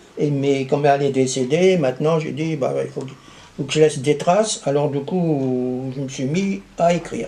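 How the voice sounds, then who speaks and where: Over noticeable background noise, a man talks fairly slowly at a fairly high pitch with ordinary pitch variation. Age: 80s+. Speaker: local historian. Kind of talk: interview. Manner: halting, many hesitations and restarts.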